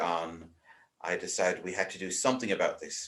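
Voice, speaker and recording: A man with an Irish accent. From Ireland. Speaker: vicar. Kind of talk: casual interview chat.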